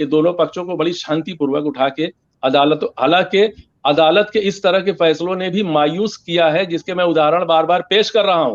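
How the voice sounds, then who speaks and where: A man speaks at a high pitch and a moderate pace. His pitch varies in an ordinary way. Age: 60s. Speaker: journalist. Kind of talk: heated debate.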